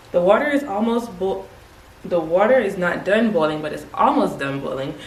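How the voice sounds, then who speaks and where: A woman speaks at a moderate pace and medium pitch, with noticeable background noise and audible room echo. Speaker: beauty YouTuber. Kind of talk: hair tutorial. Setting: at home. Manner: soft-spoken, trying to be quiet; casual, chatty.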